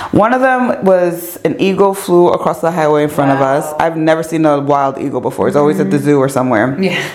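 A woman with an American accent speaks in a very deep, low voice, very fast and with hardly any pauses, her tone animated and her intonation lively. The room echoes audibly, and background noise is noticeable. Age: 40s. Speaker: podcast host and radio host. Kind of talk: casual interview chat.

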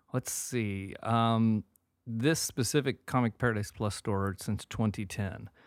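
A man with an unremarkable speaking voice talks at a fairly slow pace and medium pitch, with fairly even intonation in a dry, close sound with no echo. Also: very clean recording, silent background. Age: 40s. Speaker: comic book store owner. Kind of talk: casual interview.

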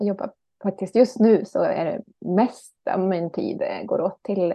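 At a moderate pace, a woman talks in an unremarkable speaking voice of medium pitch. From Ekerö outside Stockholm, Sweden. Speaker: author and gardening teacher. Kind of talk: casual interview chat.

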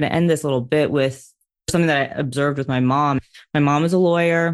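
This woman speaks with an American accent at a fairly quick pace. Her pitch is very deep and low. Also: quiet background. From US, New York City. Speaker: race car driver and motivational speaker. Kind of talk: interview conversation.

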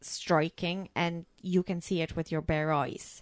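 In a very clean recording with a silent background and a dry, close sound with no echo, a woman speaks very slowly at a fairly low pitch with ordinary pitch variation. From Poland. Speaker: film podcast co-host. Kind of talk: casual chat.

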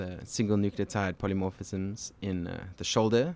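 A man's fairly low, monotone voice with flat intonation at a moderate pace, in a very clean recording with a silent background. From South Africa, Cape Town. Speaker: genetics researcher and former swim coach. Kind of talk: podcast interview.

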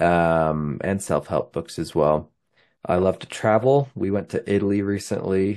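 A man with a Utah accent speaks at a moderate pace with ordinary pitch variation. The background is quiet. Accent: Western US (Utah). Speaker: podcast host, amateur runner. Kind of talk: casual solo monologue, race recap. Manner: casual with many filler words.

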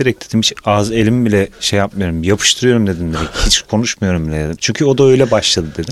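This man talks at a very fast pace with hardly any pauses. His voice sits fairly low, and his intonation is lively. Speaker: podcast co-host, sound engineer. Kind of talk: casual chat.

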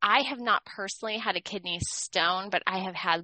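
This woman has a medium pitch and ordinary pitch variation. It is a normal speaking voice. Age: middle-aged. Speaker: podcast co-host, essential oil educator. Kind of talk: casual chat.

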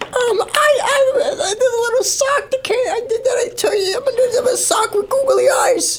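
This put-on character voice sits at an extremely high pitch. It moves at a fairly slow pace with hardly any pauses. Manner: ventriloquist with lips not moving.

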